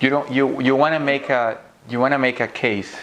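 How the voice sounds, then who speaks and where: A man with a non-native accent and fairly even intonation. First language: not English. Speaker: physician giving interview tips to students. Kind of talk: lecture.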